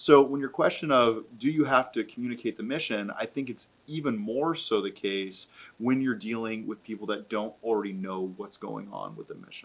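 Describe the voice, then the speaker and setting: A man's plain, everyday voice at a moderate pace, with hardly any pauses, ordinary pitch variation and big swings in loudness. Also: medium pitch for a man. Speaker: charity auctioneer. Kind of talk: casual conversational discussion of fundraising events.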